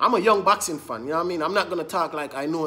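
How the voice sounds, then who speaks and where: A man talks at a very fast pace with a high pitch. His pitch varies an ordinary amount. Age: young. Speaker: boxing commentator. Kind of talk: angry rant. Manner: indignant, repetitive, emphatic; fast, insistent, addressing viewers directly. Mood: annoyed, ranting. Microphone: phone near.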